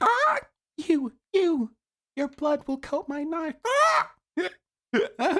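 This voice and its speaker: The voice is a high-pitched, put-on character voice. It moves at a very slow pace. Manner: menacing, croaking.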